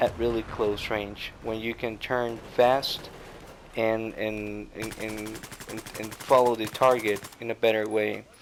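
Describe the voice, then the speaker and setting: Noticeable background noise sits behind a man speaking at a fairly slow pace. His pitch is medium and his intonation is monotone and flat. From Costa Rica. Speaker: gaming commentator. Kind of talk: gameplay commentary. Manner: halting, many fillers.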